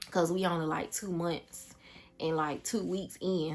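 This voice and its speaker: A woman's fairly low voice with a Southern US accent, fairly even intonation and a moderate pace, music in the background. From US South, Georgia. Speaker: vlogger, single mom. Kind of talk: casual vlog monologue. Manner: chatty, informal.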